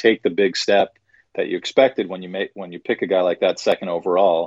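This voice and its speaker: Fairly low in pitch, this man has a plain, everyday voice with an American accent. He moves at a fairly quick pace with ordinary pitch variation. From New York area. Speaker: hockey journalist. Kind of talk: interview.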